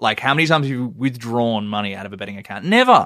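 A man talks with an Australian accent and a bright, sharp tone. His pitch varies in an ordinary way on a very clean recording with a silent background. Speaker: journalist. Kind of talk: casual chat.

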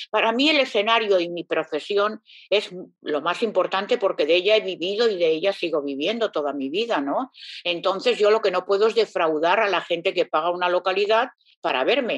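A woman's plain, everyday voice at medium pitch, fairly quick, with ordinary pitch variation and a dry, close sound with no echo. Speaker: singer. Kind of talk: interview. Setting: at home.

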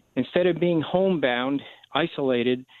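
Ordinary pitch variation and a moderate pace from a man, a plain, everyday voice. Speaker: charity director for veteran service dogs. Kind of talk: radio interview.

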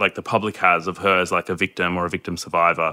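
Fairly quick speech from a man with an Australian accent. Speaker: anti-domestic violence advocate. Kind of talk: casual chat. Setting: remote call.

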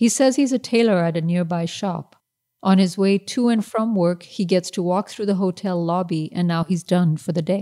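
On a very clean recording with a silent background, a woman with a Pakistani accent speaks at medium pitch and a moderate pace, her tone dark and mellow, the sound dry and close with no echo. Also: ordinary pitch variation. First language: Urdu. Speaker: novelist. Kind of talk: reading aloud.

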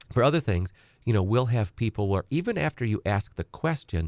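Recorded dry and close with no echo, a man talks in an American accent. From central Wisconsin. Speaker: estate planning attorney. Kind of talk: radio call-in advice. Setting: radio studio.

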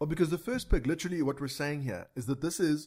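The man's voice sits at a fairly high pitch, with ordinary pitch variation. It is an unremarkable speaking voice. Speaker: podcast co-host. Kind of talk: casual chat. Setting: studio. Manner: joking, banter.

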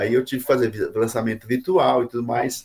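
A somewhat breathy man's voice at a moderate pace. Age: 50s. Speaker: pastor and author. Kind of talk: interview.

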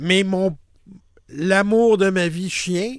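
A man with a Quebec accent, high in pitch, at a very slow pace. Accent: Québécois French. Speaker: podcast host. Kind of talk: casual chat. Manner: halting, many repetitions and fillers.

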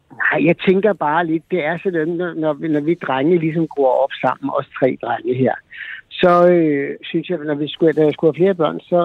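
Speaking at a moderate pace, a man has an ordinary speaking voice with a fairly high pitch and ordinary pitch variation. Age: 50s. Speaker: caller, father. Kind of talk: phone-in interview. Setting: phone call. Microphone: faint, poor phone line.

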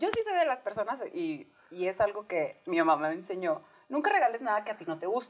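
Over noticeable background noise, a woman talks at a fairly quick pace with a fairly high pitch and very wide pitch swings. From Mexico, Sonora. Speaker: podcast co-host. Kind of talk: casual chat.

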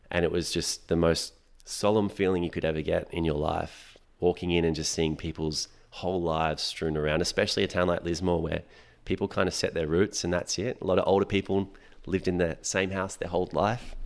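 A man with an Australian accent and a very deep, low voice speaks at a fairly quick pace with fairly even intonation, recorded very cleanly against a silent background. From Western Sydney, Australia. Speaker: breathwork instructor. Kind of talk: casual chat.

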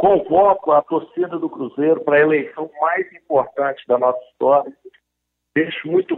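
A man's fairly high pitch carries an ordinary speaking voice at a moderate tempo. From Brazil, Belo Horizonte (Minas Gerais). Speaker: businessman and football club presidential candidate. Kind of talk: interview.

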